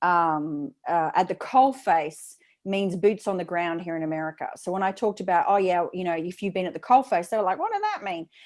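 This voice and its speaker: Hardly pausing, a woman talks at a fairly quick pace in an Australian accent. Her medium pitch shows ordinary variation. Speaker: speaking coach. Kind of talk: interview. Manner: fast.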